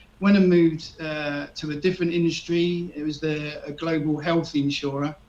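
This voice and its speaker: A man with a southeast English accent, fairly high in pitch, at a moderate pace in a monotone, flat intonation. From southeast England (Erith, Kent). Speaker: retired expat. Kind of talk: radio interview. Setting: live radio show. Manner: hesitant, many fillers.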